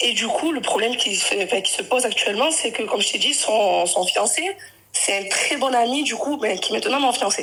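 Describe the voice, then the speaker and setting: Noticeable background noise and audible room echo surround the recording. A woman speaks with a high pitch, lively intonation and a fairly quick pace. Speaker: caller on a live stream. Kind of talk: personal testimony on a live call. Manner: halting, with many self-corrections.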